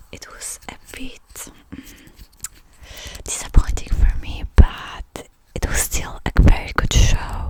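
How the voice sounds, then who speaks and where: Someone whispers at a very slow pace, leaving long, frequent pauses. Noticeable background noise runs underneath. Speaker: ASMR creator. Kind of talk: rambling ASMR talk. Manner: whispered; soft-spoken, low-energy.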